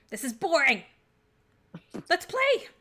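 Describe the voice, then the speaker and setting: Shrill and extremely high-pitched, a woman's put-on character voice swings very widely in pitch. The act is loud with those big leaps. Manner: huffy, impatient.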